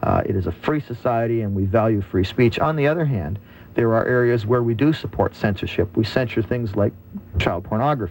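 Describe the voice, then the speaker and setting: A man talks in an ordinary speaking voice at a fairly quick pace. His medium pitch shows ordinary variation. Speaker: radio host. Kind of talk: radio talk show discussion moderating.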